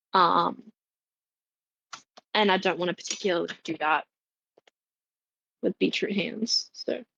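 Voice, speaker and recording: A woman's bright, sharp voice with vocal fry, ordinary pitch variation, a fairly slow pace and long, frequent pauses. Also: medium pitch for a woman, dry, close sound with no echo. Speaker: streamer. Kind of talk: live cooking stream chat. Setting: home kitchen.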